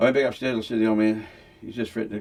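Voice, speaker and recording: A man talks with an Australian accent and lively intonation. Vocal fry creeps into his voice. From Australia, Victoria (Melbourne area). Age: 70s. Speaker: former criminal telling his life story. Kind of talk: casual interview storytelling.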